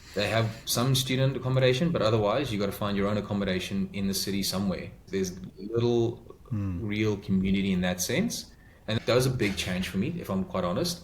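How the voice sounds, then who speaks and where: Speaking at a fairly quick pace with a South African accent, this man is heard over noticeable background noise. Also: fairly low pitch for a man, ordinary pitch variation. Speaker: podcast guest, migrant to Australia. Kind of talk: interview answer. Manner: direct.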